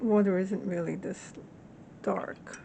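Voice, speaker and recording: The voice has vocal fry. Its tone is dark and mellow. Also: woman. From Latin American heritage. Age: 60s. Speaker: hobby watercolor artist. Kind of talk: casual talk to camera.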